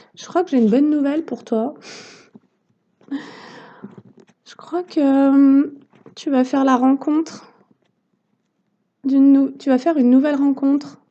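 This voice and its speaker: Quiet and very slow, the voice has a dark, mellow tone, fairly even intonation, big swings in loudness and long, frequent pauses. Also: woman, high pitch for a woman. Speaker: tarot reader and therapist. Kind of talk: tarot card reading. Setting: on a deck, outdoors in the sun. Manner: hesitant.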